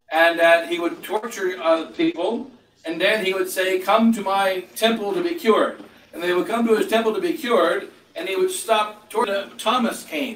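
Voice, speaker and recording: Over light background noise and with audible room echo, a man talks at a moderate pace. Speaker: clergyman preaching. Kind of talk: sermon. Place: home room. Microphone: camera far.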